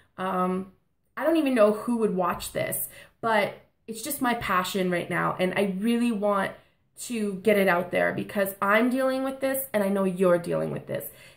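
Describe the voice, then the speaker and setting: In a very clean recording with a silent background, a woman with a medium pitch speaks at a moderate pace in an animated tone, with ordinary pitch variation. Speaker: vlogger. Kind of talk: inspirational vlog monologue.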